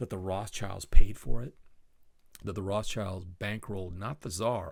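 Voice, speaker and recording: At a moderate pace, a man with a fairly low, somewhat breathy voice speaks with fairly even intonation in a very clean recording with a silent background. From Southeast Asia (South Vietnam, Singapore) expat childhood. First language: Spanish. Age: 60s. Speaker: podcast host. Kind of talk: solo podcast monologue. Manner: casual, rambling with self-corrections.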